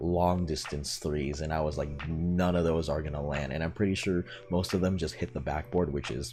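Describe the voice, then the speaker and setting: Quiet, very deep, low male voice with music in the background. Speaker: sports YouTuber. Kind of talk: casual sports recap vlog. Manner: quiet, late at night; hesitant, many fillers.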